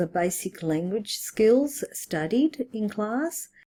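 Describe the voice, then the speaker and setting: Speaking in an Australian accent, a woman with a dark, mellow tone makes very wide pitch swings. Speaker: English teacher and teacher trainer. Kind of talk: presentation. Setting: online webinar recording. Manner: formal.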